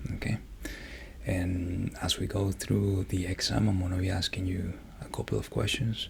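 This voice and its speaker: Soft-spoken, a man talks with a very deep, low pitch and lively intonation at a moderate pace. There is noticeable background noise. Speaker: doctor in roleplay. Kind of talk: ASMR medical roleplay.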